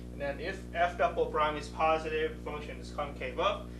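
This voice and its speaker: A man's voice carries audible room echo. Music plays in the background. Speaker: math instructor. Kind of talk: lecture. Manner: fast.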